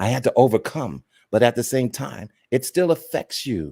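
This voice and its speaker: The recording is very clean and dry, close with no echo and a silent background. A man with a medium pitch, a dark, mellow tone and some vocal fry speaks at a moderate pace with lively intonation. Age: 60s. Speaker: co-host. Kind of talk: testimony. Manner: halting.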